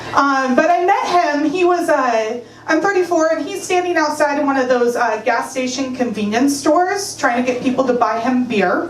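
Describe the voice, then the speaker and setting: A woman with an American accent speaks in a high voice with hardly any pauses, with audible room echo and noticeable background noise. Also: lively intonation, moderate pace. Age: 30s. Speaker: stand-up comedian. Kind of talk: stand-up. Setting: stage with audience.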